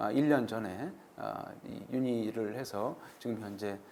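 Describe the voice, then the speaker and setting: Audible room echo surrounds a man's voice. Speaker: orthopedic surgeon and professor. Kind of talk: lecture. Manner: halting, many fillers.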